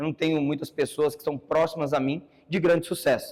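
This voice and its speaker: A man's plain, everyday voice, fairly high in pitch, at a moderate pace. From Brazil, São Paulo ABC region. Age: 30s. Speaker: entrepreneur giving a talk. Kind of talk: conference talk.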